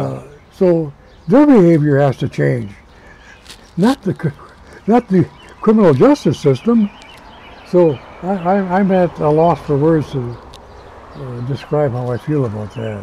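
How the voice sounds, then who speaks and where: A man speaks fairly slowly at a fairly high pitch, his pitch swinging very widely, with long, frequent pauses. Noticeable background noise is present. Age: 80s+. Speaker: retired prison warden. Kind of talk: interview answer.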